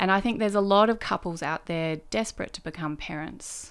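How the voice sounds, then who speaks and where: A woman speaks in an Australian accent. The recording is very clean, and the background is silent. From northern New South Wales, Australia. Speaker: state politician. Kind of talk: interview.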